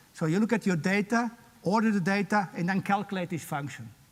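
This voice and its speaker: Here a man speaks at a fairly quick pace. His pitch is high, with ordinary pitch variation. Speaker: professor. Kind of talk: lecture. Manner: fast.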